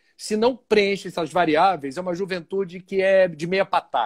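A man's high-pitched voice at a moderate pace. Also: dry, close sound with no echo. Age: 50s. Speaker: journalist and spiritist speaker. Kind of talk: interview on a livestream.

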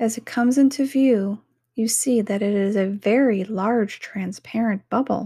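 Speaking at a fairly slow pace, a woman uses a fairly high pitch, fairly even intonation and a somewhat breathy, dark, mellow voice in a soothing, calm tone, on a very clean recording with a silent background. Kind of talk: guided self-hypnosis meditation. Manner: slow, soothing, calm, gentle pacing with repeated phrases; soft-spoken, hypnotic.

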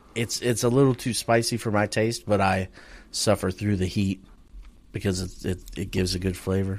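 A man at a fairly low pitch and moderate pace, with fairly even intonation and an ordinary speaking voice. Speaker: podcast co-host. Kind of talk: casual banter about sports. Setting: remote recording over internet.

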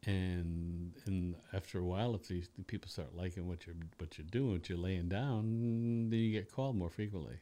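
A man's very deep, low voice with an American accent and a dark, mellow tone, at a moderate pace with hardly any pauses. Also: ordinary pitch variation. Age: 60s. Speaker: bass player and orchestra leader. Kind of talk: casual chat. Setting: studio.

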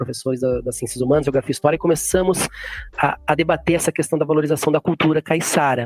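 A man's fairly high voice with ordinary pitch variation, dry and close with no echo, over music in the background. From São Paulo interior, Jundiaí. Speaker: writer and geography teacher. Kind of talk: interview. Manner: halting, many fillers.

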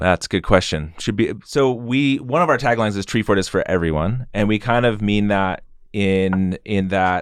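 In an American accent, a man with a plain, everyday voice speaks at a moderate pace, his fairly low pitch showing ordinary variation. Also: quiet background. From Idaho, US. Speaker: music festival co-founder and musician. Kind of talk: podcast interview.

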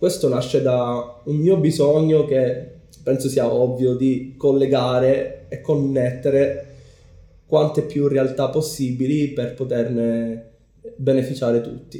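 With audible room echo around him, a man speaks very slowly in a dark, mellow tone, somewhat breathy and monotone, his intonation flat. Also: medium pitch for a man. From Sicily, Palermo. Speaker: community organizer. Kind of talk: casual interview. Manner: hesitant with fillers.

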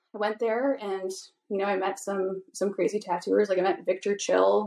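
Speaking at a moderate pace, a woman with a Canadian accent has an unremarkable speaking voice at a medium pitch. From Vancouver Island, Canada. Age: 20s. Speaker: tattoo artist. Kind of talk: casual chat.

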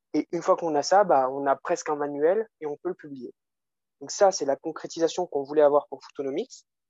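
A man with a fairly high voice talks at a fairly quick pace. His pitch varies in an ordinary way while his loudness swings widely. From France. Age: 20s. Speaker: business student and economics popularizer. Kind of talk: casual interview. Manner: animated.

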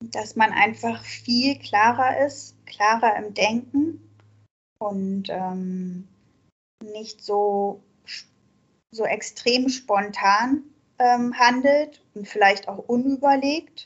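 A very slow, somewhat breathy delivery with big swings in loudness, long, frequent pauses and ordinary pitch variation. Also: woman, fairly high pitch for a woman. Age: 40s. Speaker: recovering alcoholic sharing her story. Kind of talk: interview. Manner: halting, many fillers.

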